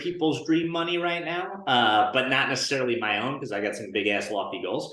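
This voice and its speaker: With audible room echo, a man with an American accent and a fairly high pitch speaks at a moderate pace with lively intonation. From northern New Jersey. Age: 30s. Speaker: insurance agency owner and coach. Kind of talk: podcast interview. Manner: casual, many fillers.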